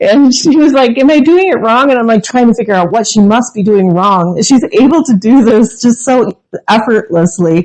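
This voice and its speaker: A woman with an unremarkable speaking voice talks at a moderate pace and fairly high pitch, her loudness very even, her intonation lively, and hardly any pauses between words. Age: 50s. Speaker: podcast host. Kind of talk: casual chat.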